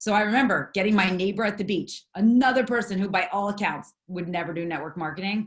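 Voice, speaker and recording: With an American accent, a woman speaks at a very fast pace with hardly any pauses, somewhat breathy, at a medium pitch with ordinary pitch variation. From US East Coast. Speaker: network marketing leader. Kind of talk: motivational talk. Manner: animated.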